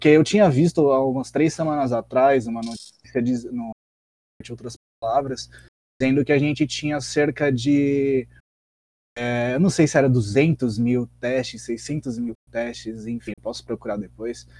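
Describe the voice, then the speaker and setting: A man's medium-pitched, dark, mellow voice, fairly slow and fairly even in intonation, with a dry, close sound and no echo. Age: 20s. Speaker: magazine editor, podcast co-host. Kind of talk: casual discussion podcast. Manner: halting, repeats words.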